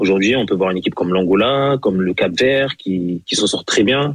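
A man with a fairly low voice speaks at a fairly quick pace, using ordinary pitch variation. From Senegal. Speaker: former international footballer. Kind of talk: radio interview.

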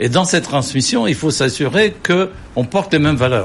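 Very wide pitch swings run through a man's medium-pitched speech. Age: 70s. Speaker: company chairman. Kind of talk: studio interview.

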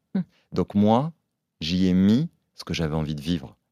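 A man's very deep, low voice, dark and mellow in tone, at a moderate pace, with a dry, close sound with no echo on a very clean recording against a silent background. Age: 40s. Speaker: entrepreneur. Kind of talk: casual chat.

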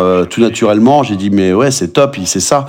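A man's fairly low, plain, everyday voice with ordinary pitch variation. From Brittany, France. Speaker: chef and trail runner. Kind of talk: podcast interview.

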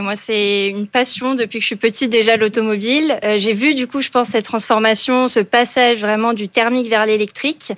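A woman with a plain, everyday voice talks at a fairly quick pace, her fairly high pitch held in fairly even intonation. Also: hardly any pauses. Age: 20s. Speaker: business school student. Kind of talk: radio interview.

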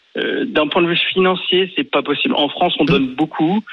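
A man talks at a fairly quick pace in a normal speaking voice with ordinary pitch variation. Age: 30s. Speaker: radio caller. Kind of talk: call-in discussion. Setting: phone call.

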